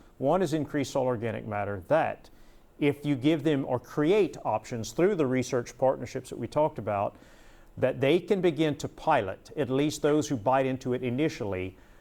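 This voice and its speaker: Lively intonation at a moderate pace, with a dark, mellow tone and an American accent. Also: man, fairly high pitch for a man. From Southwest Louisiana. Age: 60s. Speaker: conservation official. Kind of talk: panel discussion.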